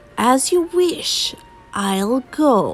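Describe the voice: Doing a put-on character voice, a woman with a slightly husky edge speaks at a fairly high pitch with very wide pitch swings, faint music in the background. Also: very slow pace.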